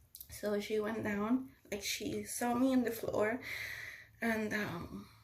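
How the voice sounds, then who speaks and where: At a very slow pace, a woman speaks with fairly even intonation amid audible room echo. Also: fairly high pitch for a woman. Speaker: stroke survivor sharing her story. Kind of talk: personal testimony vlog. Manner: halting, with repetitions.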